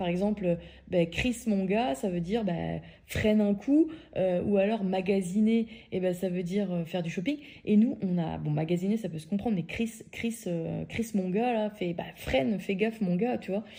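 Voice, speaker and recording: A woman of medium pitch at a moderate pace, somewhat breathy, with a dark, mellow tone and ordinary pitch variation. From France. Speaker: podcaster. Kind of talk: storytelling. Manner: casual, hesitant with fillers.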